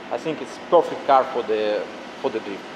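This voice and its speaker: A man with a Russian accent speaks at a fairly high pitch over noticeable background noise. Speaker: car video maker. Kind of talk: casual chat. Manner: halting.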